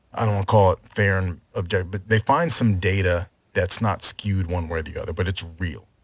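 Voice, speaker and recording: Somewhat breathy and fairly low-pitched, a man speaks at a fairly quick pace. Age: 40s. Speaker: podcast guest. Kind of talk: casual chat.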